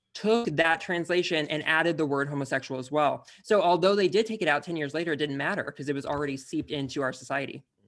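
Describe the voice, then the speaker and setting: A man talks at a very fast pace with hardly any pauses, his pitch fairly high and its variation ordinary. The recording is very clean, with a silent background. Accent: American. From Texas, Fort Worth. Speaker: podcaster and actor. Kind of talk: casual chat.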